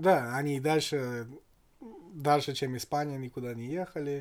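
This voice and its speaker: A man with a slight English accent speaks at a moderate pace and a fairly high pitch. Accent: slight English accent in Russian. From England. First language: English (speaking Russian). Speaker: podcast guest, former expat in Kazakhstan. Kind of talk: casual chat.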